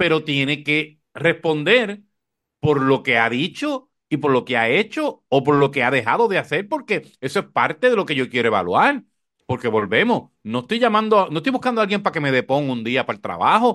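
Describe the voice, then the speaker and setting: At a moderate pace, a man with a fairly high pitch and a bright, sharp tone makes very wide pitch swings. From Puerto Rico. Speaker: podcast host, communicator. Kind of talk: casual political chat.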